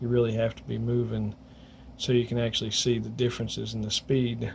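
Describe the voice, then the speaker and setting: A man talks at a very fast pace. He has a coastal North Carolina accent. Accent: US Southern, coastal North Carolina. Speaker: weather vlogger. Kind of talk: casual video update. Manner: rambling, halting.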